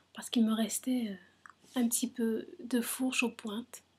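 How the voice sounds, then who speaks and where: A woman is whispering. Her pace is very slow. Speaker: hair care vlogger. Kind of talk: casual talk to camera. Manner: whispered; hesitant, many fillers.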